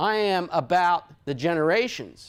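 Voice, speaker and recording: Speaking at a very slow pace, a man with a high voice uses lively intonation on a very clean recording with a silent background. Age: 60s. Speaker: speaker addressing a small group. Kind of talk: informal talk to a group. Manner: conversational, with rhetorical questions.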